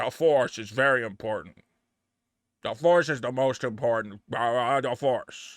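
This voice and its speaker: Doing a put-on character voice, a man speaks at a moderate pace and medium pitch in a solemn, serious tone on a very clean recording with a silent background. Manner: solemn, repetitive, self-serious.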